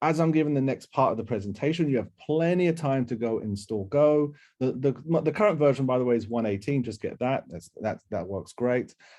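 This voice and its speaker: Over a quiet background, a man at medium pitch talks at a fairly quick pace with lively intonation and a dark, mellow tone. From UK. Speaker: software engineer, workshop instructor. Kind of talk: technical workshop presentation. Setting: online workshop. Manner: hesitant, many fillers and restarts.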